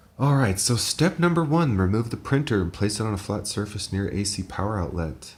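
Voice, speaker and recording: A man's quiet, somewhat breathy voice with an American accent, fairly low pitch, lively intonation and a fairly quick pace. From United States. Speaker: engineer and tech hobbyist youtuber. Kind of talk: tutorial. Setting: home apartment. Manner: quiet, subdued.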